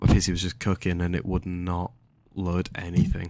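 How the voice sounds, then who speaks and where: Someone with an English accent speaks at a moderate pace on a very clean recording with a silent background. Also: man. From England. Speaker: gaming youtuber. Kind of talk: gameplay commentary. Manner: casual, rambling with filler words.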